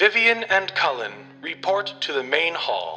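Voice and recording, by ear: A robotic, put-on character voice from a man, high in pitch, at a moderate pace, over clear music in the background.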